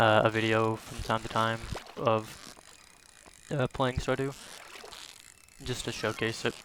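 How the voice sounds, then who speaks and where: A man talks in a flat monotone with long, frequent pauses. Noticeable background noise runs underneath. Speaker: gaming YouTuber. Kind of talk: casual gameplay commentary. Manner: calm, quiet and slow; filler-heavy, relaxed.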